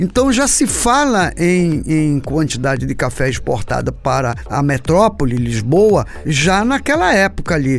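Noticeable background noise runs behind this man. He talks at a fairly slow pace with hardly any pauses. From Pará, Brazil (Vigia). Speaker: journalist and cultural historian. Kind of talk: radio interview.

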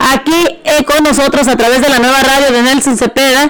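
An animated woman's voice, high in pitch, at a moderate pace over noticeable background noise. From Mexico, Jalisco. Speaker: radio host. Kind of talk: radio show with event promos.

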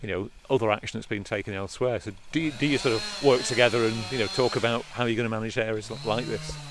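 Noticeable background noise sits behind a man who talks at a very fast pace with a medium pitch and ordinary pitch variation. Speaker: podcast host. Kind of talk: interview. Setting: outdoors.

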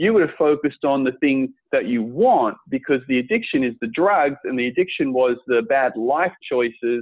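Intonation is lively in a plain, everyday voice. The pace is moderate, with hardly any pauses. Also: man, medium pitch for a man. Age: 40s. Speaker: podcast host. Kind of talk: interview.

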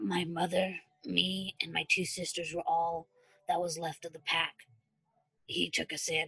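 A put-on character voice sits at a middle pitch. Long, frequent pauses break up the speech. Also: moderate pace. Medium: read story. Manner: terse, dry, guarded.

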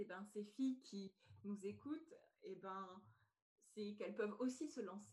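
A somewhat breathy woman speaks at medium pitch and a fairly slow pace. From France. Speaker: podcast host and personal development coach. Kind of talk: podcast interview.

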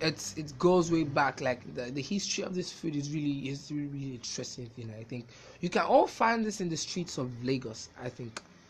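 A man talks at a fairly quick clip with hardly any pauses, his pitch fairly high and his intonation lively. His tone is animated and somewhat breathy. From Nigeria (Yoruba). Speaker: podcaster. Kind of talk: casual monologue.

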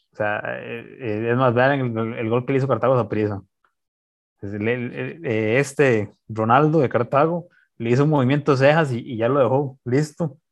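A man speaks fairly slowly at a medium pitch with ordinary pitch variation against a quiet background. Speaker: football podcast co-host. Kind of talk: casual sports chat. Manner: halting.

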